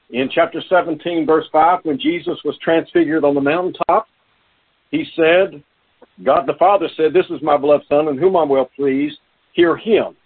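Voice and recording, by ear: A man speaks at a moderate pace in a fairly high voice with a slightly husky edge and fairly even intonation.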